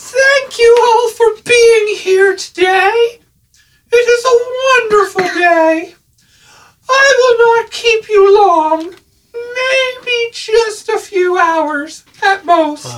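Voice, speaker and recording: A female-sounding voice in a put-on character voice, extremely high and shrill. It moves at a very slow pace. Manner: enthusiastic, welcoming.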